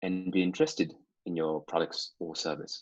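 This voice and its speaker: Speaking at a fairly slow pace, a man with a non-native accent uses a fairly low pitch. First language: not English. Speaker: copywriter and digital marketer. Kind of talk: interview. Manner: halting, many fillers.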